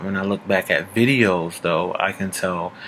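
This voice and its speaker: This man has a very deep, low pitch and fairly even intonation. Music plays in the background. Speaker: vlogger. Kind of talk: casual vlog update. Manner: hesitant, many filler ums; unscripted.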